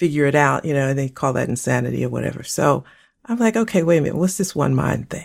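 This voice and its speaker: Over a silent background in a very clean recording, a woman talks at a very fast pace with a very deep, low pitch and vocal fry. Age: 60s. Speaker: co-host and former pastor. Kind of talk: casual conversational podcast discussion.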